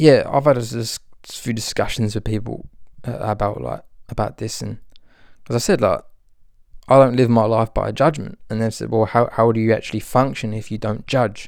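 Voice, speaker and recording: A man speaks at a medium pitch in a relaxed tone with vocal fry, at a moderate pace and with ordinary pitch variation, in a very clean recording with a silent background. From Britain. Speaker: spiritual podcast host and author. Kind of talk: casual spiritual monologue. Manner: relaxed, meandering, many fillers.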